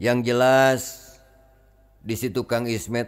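A man speaks at a very slow pace. His voice sits at medium pitch. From West Java, Tasikmalaya area. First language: Sundanese (speaking Indonesian). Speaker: Islamic spiritual teacher. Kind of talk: storytelling to a gathering. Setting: gathering with audience.

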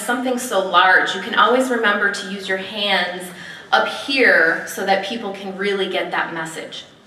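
A woman speaks at a fairly slow pace with lively intonation over noticeable background noise. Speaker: speech evaluation contestant. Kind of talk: speech evaluation. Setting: stage with audience.

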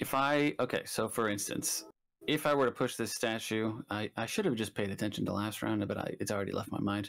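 A man with a normal speaking voice, fairly low pitch and ordinary pitch variation talks at a fairly quick pace in a very clean recording with a silent background. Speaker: guest player. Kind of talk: casual tabletop gameplay chat.

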